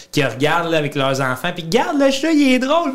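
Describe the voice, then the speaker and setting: With a Gaspésie accent, a man talks in an animated tone, his pitch swinging very widely. Noticeable background noise runs underneath. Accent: Gaspésie Quebec French. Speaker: comedian and content creator. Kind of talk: casual interview chat. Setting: studio.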